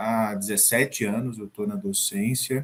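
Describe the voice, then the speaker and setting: A man with a plain, everyday voice, lively intonation, and a fairly slow pace. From Brazil, Sergipe (Northeast). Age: 40s. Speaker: chef and professor. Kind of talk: interview.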